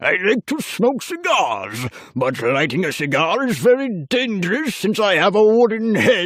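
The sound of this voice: A man's put-on character voice, high in pitch, at a moderate pace and with very wide pitch swings.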